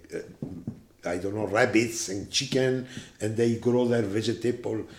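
Speaking with an Italian accent, a man talks at a fairly slow pace with medium pitch and ordinary pitch variation. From Italy. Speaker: management consultant and seminar lecturer. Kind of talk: interview. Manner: halting.

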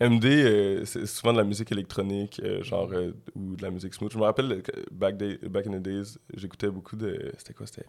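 Loudness swings widely as a man with a plain, everyday voice and fairly low pitch talks at a moderate pace with fairly even intonation. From Quebec (Montreal area, Laval). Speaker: rapper. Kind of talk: casual interview.

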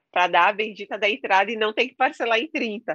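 Against a quiet background, a woman's bright, sharp tone comes through in a dry, close sound with no echo. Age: 40s. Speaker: author and content creator, former house cleaner. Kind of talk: interview.

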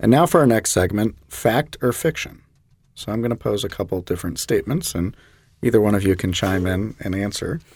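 Here a man with an American accent uses an ordinary speaking voice, pitched fairly low with lively intonation. The recording is very clean, the background silent. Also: fairly quick pace. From US South, Jacksonville, Florida. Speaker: medical oncologist, podcast host. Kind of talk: medical interview podcast.

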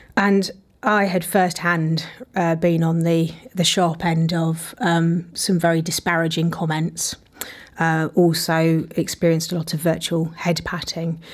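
Monotone and flat, a woman with a fairly low pitch speaks at a fairly slow pace. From English Midlands, Leicester. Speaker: entrepreneur. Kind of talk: interview.

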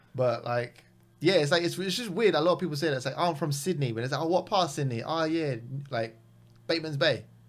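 A man with a London accent, a fairly high pitch, ordinary pitch variation and a very fast pace. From West London, England. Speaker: comedian. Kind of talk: casual chat.

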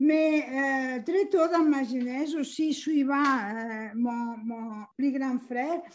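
A woman speaks at a very slow pace. Her pitch is high, with ordinary pitch variation. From Catalonia, Spain. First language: Catalan/Spanish (speaking French). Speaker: retired professor, aquatic ecologist. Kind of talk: interview. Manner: halting.

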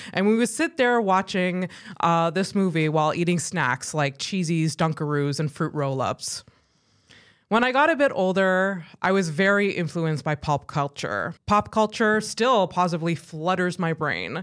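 Against a silent background in a very clean recording, a woman with an unremarkable speaking voice and a fairly low pitch speaks at a moderate pace with lively intonation. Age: 30s. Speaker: podcast host. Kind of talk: scripted narration; casual chat.

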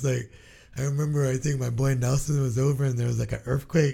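A man with an American accent speaks at a fairly quick pace in a medium-pitched, somewhat breathy voice. His tone is dark and mellow, his intonation monotone and flat. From Guam and California. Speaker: podcast host. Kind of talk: casual chat.

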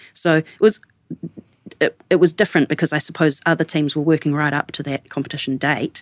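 A woman with a New Zealand accent speaks at a fairly quick pace, her pitch very deep and low. Her intonation stays fairly even, and the sound is dry and close with no echo. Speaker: architect, studio co-founder. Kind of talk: casual interview conversation.

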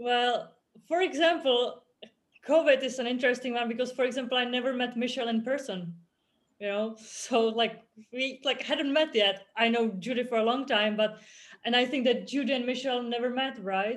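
With a Czech accent, a woman talks at a moderate pace in a high voice with ordinary pitch variation. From Czech Republic. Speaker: author and former rower. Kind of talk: casual chat. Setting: video call.

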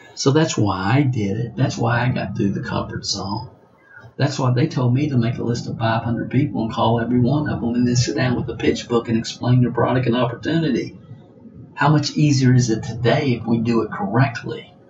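Music plays in the background as a man with an American accent and medium pitch talks at a fairly quick pace. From US South. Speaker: network marketing trainer. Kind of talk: training monologue. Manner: animated.

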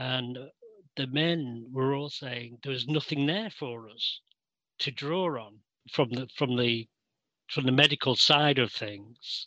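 A man with a Mancunian accent, medium pitch and ordinary pitch variation, bright, sharp tone, very slow pace with long, frequent pauses, quiet background. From Manchester, England. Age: 60s. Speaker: interviewee. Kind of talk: interview. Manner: halting.

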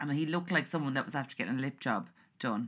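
In a very clean recording with a silent background, a woman with an Irish accent sounds bright and sharp, her intonation lively. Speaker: podcast host. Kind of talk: casual monologue. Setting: home recording. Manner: chatty, rambling.

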